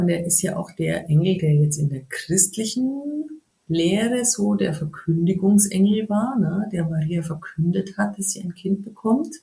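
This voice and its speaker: With a Bavarian accent, a woman speaks at a medium pitch and a fairly slow pace, with hardly any pauses and lively intonation. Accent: Bavarian, rolled R. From Bavaria, near Munich. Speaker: yoga teacher. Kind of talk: casual interview.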